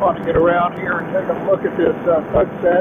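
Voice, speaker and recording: A man talks at a moderate pace. The sound is dry with no echo, but loud background noise is present. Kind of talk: casual flight commentary. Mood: relaxed, admiring the sunset. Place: open country. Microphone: headset.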